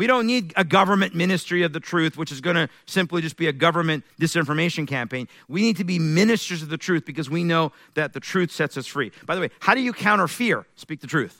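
A man talks at a very fast pace with hardly any pauses, his high-pitched voice bright and sharp in tone. His delivery is animated, with lively intonation, and the sound is dry and close with no echo. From Iran. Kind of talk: sermon. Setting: church.

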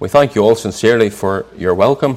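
Moving at a fairly quick pace, a man talks with fairly even intonation. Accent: Northern Irish. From Northern Ireland, near Belfast. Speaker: preacher. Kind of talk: sermon.

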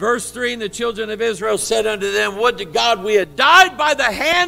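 A man's animated, lively-intoned voice over music in the background. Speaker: preacher. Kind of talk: sermon delivered live to a congregation, with call-and-response. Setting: church. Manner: animated, fervent, exhorting the congregation directly; conversational, with asides and a touch of humor.

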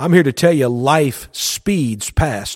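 A man with a plain, everyday voice speaks at a fairly high pitch with ordinary pitch variation on a very clean recording with a silent background. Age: 40s. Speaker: radio pastor. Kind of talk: radio sermon.

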